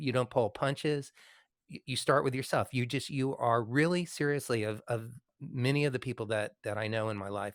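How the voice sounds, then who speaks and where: In an unremarkable speaking voice, a man talks at medium pitch and a moderate pace with ordinary pitch variation. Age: 60s. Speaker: podcast host and musician. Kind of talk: interview chat. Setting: live video stream with online audience.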